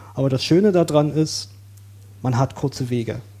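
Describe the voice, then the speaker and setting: A man at medium pitch, somewhat breathy, dark and mellow in tone, with lively intonation. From Saxony, eastern Germany. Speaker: coworking space user, self-employed IT worker. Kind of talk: casual podcast interview.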